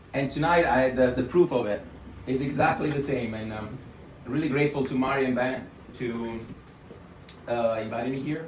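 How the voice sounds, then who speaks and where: At a moderate pace and medium pitch, a man speaks with fairly even intonation and long, frequent pauses. Noticeable background noise and audible room echo fill the recording. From southern Italy. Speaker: dinner guest. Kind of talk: toast speech. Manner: halting.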